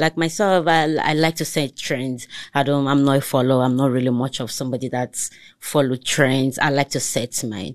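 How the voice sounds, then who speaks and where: In a quiet background, a woman with a Nigerian accent speaks at a moderate pace in a very deep, low pitch, with ordinary pitch variation. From Lagos, Nigeria. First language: Togolese language (mother's tongue). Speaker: entrepreneur. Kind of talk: casual chat.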